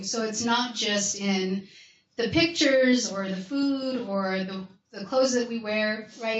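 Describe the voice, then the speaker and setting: Audible room echo surrounds speech delivered at a fairly slow pace with ordinary pitch variation. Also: woman. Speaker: academic researcher presenting a research toolkit. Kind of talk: conference workshop presentation.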